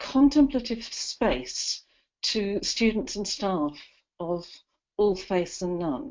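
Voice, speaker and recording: A woman with a British accent and very wide swings in pitch. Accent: UK. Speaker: university educator. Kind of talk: webinar interview. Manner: articulate, measured.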